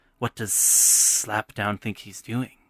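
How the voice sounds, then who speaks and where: Putting on a character voice, a man speaks with fairly low pitch and monotone, flat intonation, his voice hissing, in a dry, close sound with no echo. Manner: insidious, tempting.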